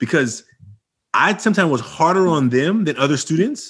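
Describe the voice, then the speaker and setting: At a moderate pace, a man with a fairly high pitch speaks with lively intonation against a quiet background. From Oakland, California. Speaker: educator. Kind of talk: podcast interview. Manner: loud.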